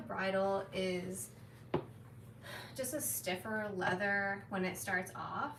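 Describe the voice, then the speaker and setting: A woman speaks at a medium pitch with very wide pitch swings. Audible room echo and noticeable background noise surround her voice. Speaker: leathercraft maker. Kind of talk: casual chat. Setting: workshop live stream.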